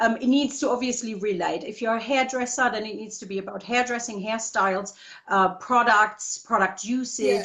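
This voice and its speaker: A woman speaks at a fairly high pitch. Noticeable background noise can be heard. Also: ordinary pitch variation, moderate pace. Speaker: marketing and copywriting consultant. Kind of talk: interview.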